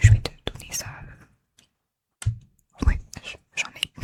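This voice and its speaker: Whispering with a calm, gentle tone, a woman leaves long, frequent pauses while her loudness swings widely. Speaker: ASMR creator. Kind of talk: ASMR soft spoken comforting talk to the listener. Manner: soft-spoken, whispered, calm, gentle.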